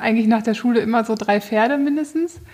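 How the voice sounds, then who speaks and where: A woman speaks with a fairly high pitch. Noticeable noise sits in the background. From northern Germany, near Bremen. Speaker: show rider. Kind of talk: interview.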